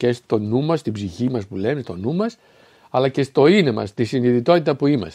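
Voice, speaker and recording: Lively intonation marks this man's medium-pitched speech at a moderate pace. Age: 60s. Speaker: spiritual philosophy speaker. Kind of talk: solo spoken talk. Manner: halting, with fillers and self-corrections.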